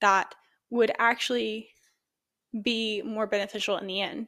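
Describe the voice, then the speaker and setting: This woman has a bright, sharp tone and a Midwestern US accent. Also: very clean recording, silent background. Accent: US Midwest. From Ohio. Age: 20s. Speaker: fitness coach and podcast host. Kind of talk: solo podcast monologue.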